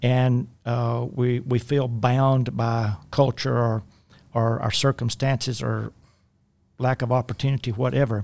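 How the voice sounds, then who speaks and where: A man talks in a South Louisiana accent at medium pitch and a fairly slow pace. His intonation is monotone and flat, and the recording is very clean with a silent background. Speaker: life coach. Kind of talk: casual chat. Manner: halting.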